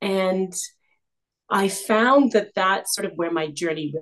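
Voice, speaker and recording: Speaking at a fairly slow pace, a woman with a Canadian accent has a plain, everyday voice and ordinary pitch variation. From Canada. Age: 50s. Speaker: image consultant. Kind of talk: interview.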